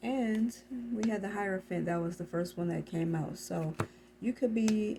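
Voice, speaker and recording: A woman talks in a soft-spoken way. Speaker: tarot reader. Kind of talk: tarot reading. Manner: halting.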